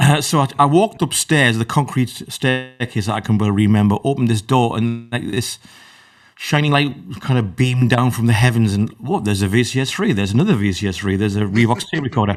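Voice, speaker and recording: A man with a northern English accent, medium in pitch, very fast, with ordinary pitch variation. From northern England, Newcastle area. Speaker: electronic musician. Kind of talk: interview.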